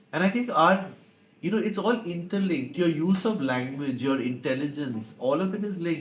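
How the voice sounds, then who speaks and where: At a moderate pace, a man with a high pitch speaks with lively intonation, with audible room echo around him. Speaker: advertising professional and author. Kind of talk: interview. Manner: hesitant, many fillers.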